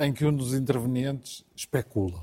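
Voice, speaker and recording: Somewhat breathy, a man with a medium pitch and a dark, mellow tone speaks with lively intonation. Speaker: football pundit, Benfica supporter. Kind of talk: studio football debate. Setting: TV studio.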